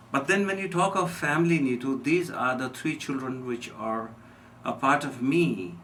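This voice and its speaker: A man talks at a moderate pace with an Indian accent. His fairly high voice rises and falls in a lively way. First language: Hindi. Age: 60s. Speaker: physician. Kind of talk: radio interview. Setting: radio studio.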